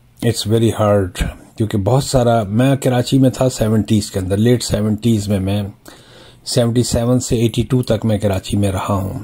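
At a fairly slow pace, a man speaks with fairly even intonation. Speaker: travel vlogger. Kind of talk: casual vlog commentary. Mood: reflective, nostalgic. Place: car.

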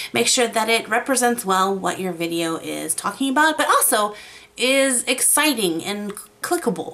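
A woman speaks at a moderate pace with a fairly high pitch. Her voice makes very wide pitch swings. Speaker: YouTube art creator. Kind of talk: tutorial. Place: home room. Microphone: studio mic.

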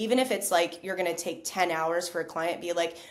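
A woman with a fairly low pitch talks at a fairly quick pace amid noticeable background noise. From United States. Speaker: digital nomad and content creator; content creator. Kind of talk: interview conversation.

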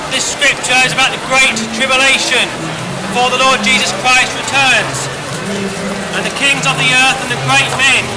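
Loud background noise under a man's moderate-paced speech. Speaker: street preacher. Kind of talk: open-air street preaching sermon. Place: street. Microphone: headset.

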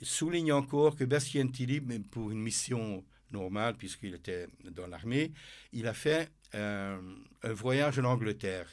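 In a very clean recording with a silent background, a man with a Hungarian accent speaks at a fairly slow pace and medium pitch, his intonation lively and his long pauses frequent. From Hungary. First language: Hungarian (speaking French). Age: 80s+. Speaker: author and former military officer. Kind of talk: interview. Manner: halting.

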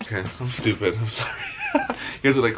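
A man talks at a fairly quick pace amid noticeable background noise. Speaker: food vlogger. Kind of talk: casual vlog chat. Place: home room. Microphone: phone near.

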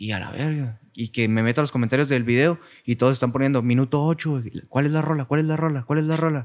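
A man's fairly high voice at a very fast pace, fairly even in intonation, with hardly any pauses and a quiet background. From Cuauhtémoc, Chihuahua, northern Mexico; Chihuahua, Mexico. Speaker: singer; guest. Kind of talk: casual chat. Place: studio. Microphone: studio mic.

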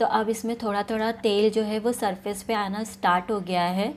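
Moderate pace with little pitch movement. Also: woman, medium pitch for a woman.

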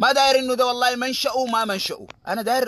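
An animated man talks at a very fast pace in an extremely high voice. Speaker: political activist. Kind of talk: political monologue.

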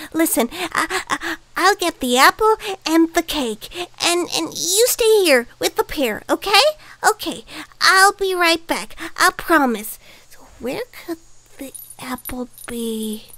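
A cartoonish character voice, extremely high in pitch, moves at a fairly slow pace. Long pauses come often. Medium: puppet. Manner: flustered, stammering.

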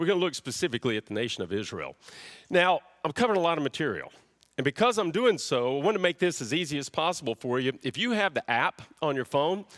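A man at a very fast pace, his pitch swinging very widely, against a quiet background. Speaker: pastor. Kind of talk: sermon. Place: church. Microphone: headset.

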